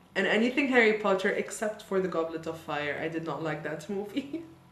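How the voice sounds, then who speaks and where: An animated voice with very wide pitch swings rings out amid audible room echo. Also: woman. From Lebanon. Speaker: YouTuber and opera singer. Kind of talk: casual chat, get-to-know-me Q&A. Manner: chatty, animated.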